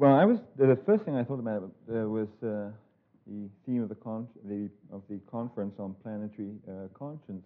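A man's medium-pitched voice with fairly even intonation, big swings in loudness and a moderate pace. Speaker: lecturer. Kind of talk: lecture. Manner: halting, many fillers.

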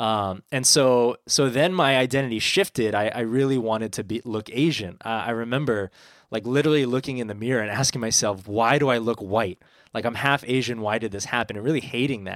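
A man with a West Coast accent talks at a fairly quick pace with medium pitch and ordinary pitch variation. The recording is very clean and silent in the background, with a dry, close sound and no echo. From San Francisco. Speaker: pastor. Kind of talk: casual chat.

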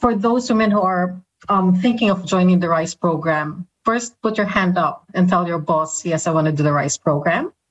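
Somewhat breathy and with a Filipino accent, the speaker keeps a moderate pace with hardly any pauses and ordinary pitch variation. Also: woman, medium pitch for a woman. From Philippines. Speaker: communications and engagement leader. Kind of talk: casual interview chat.

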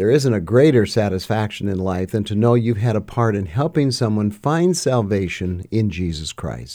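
On a very clean recording with a silent background, a man's dark, mellow voice sits at a fairly low pitch. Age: 60s. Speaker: podcast host and pastor. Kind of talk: interview conversation; scripted narration.

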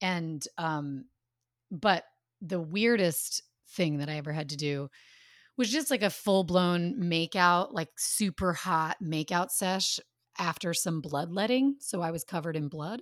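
A woman with a normal speaking voice talks at a fairly slow pace in a fairly low pitch, her intonation lively, on a very clean recording with a silent background. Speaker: podcast host and actor. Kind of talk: casual chat.

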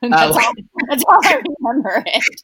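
Her tone bright and sharp, a woman speaks with a Californian accent and lively intonation. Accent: Californian American. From Southern California, North Orange County. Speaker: actress. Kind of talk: casual chat. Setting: remote call from home.

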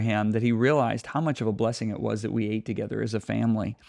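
Against a quiet background, a normal speaking voice moves along at a fairly quick pace. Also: man. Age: 60s. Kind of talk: casual chat.

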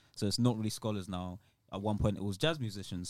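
In a London accent, a man with a fairly low pitch and ordinary pitch variation speaks on a very clean recording with a silent background. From London, England (born in Nigeria, moved as child). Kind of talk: casual chat.

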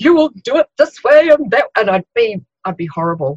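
Her pitch swinging very widely, a woman with a New Zealand accent talks at a moderate pace in a dry, close sound with no echo. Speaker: occupational therapist. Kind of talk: interview.

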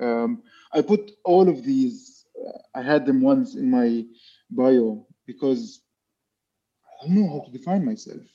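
A man with an Arabic accent and a high pitch speaks at a fairly slow pace in a dark, mellow tone, leaving long, frequent pauses. His pitch swings very widely and his loudness shifts in big swings. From Palestine. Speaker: architect and visual artist. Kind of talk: interview. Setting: video call. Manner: halting.

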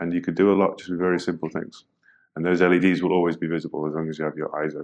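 The background is quiet. The speaker has a British accent. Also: man. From Britain. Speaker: UX designer. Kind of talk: interview. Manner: hesitant, many fillers.

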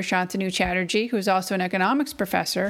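A woman with an American accent talks at a fairly quick pace in an unremarkable speaking voice, medium in pitch with ordinary pitch variation. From Massachusetts, New England. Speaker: university admissions director. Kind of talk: podcast intro talk. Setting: at home.

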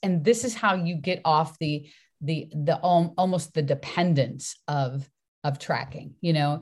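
In a very clean recording with a silent background, a woman with a fairly low pitch sounds somewhat breathy, with an animated tone and ordinary pitch variation. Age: 60s. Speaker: fitness coach and author. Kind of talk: casual interview chat.

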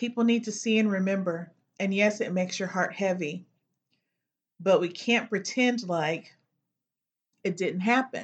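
A woman with an American accent talks at a fairly slow pace, leaving long, frequent pauses. Her voice sits at a medium pitch, is somewhat breathy, shows ordinary pitch variation, and the background is quiet. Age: 50s. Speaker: podcast host, educator. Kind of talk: personal commentary.

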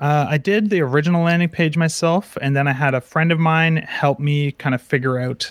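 The recording is dry and close with no echo, and a man with a fairly high pitch speaks with fairly even intonation in an unremarkable speaking voice. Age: 20s. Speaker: software developer and course creator. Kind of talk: casual interview. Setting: live video call.

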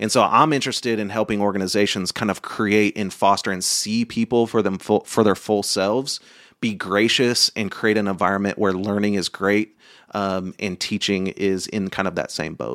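A man with an ordinary speaking voice, fairly low pitch and an American accent at a moderate pace, on a very clean recording with a silent background and a dry, close sound with no echo. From Oklahoma. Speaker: entrepreneur and community outreach speaker. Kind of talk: interview conversation.

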